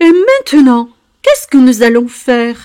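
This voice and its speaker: A put-on character voice, female-sounding and high-pitched, at a moderate pace. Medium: read story.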